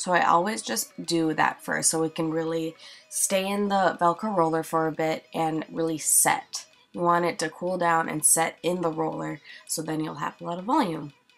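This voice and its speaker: A woman talks at a moderate pace with a fairly low pitch. Noticeable background noise runs under her voice. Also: ordinary pitch variation. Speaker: beauty vlogger. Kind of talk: tutorial voiceover. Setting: home recording, voiceover. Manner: casual, filler-heavy.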